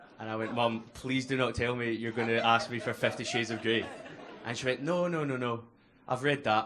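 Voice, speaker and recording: Speaking at a fairly quick pace with a Glasgow accent, a man keeps a medium pitch and fairly even intonation against noticeable background noise. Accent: Scottish (Glasgow). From Scotland, Glasgow. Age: 20s. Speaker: comedian. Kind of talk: stand-up. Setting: stage with audience.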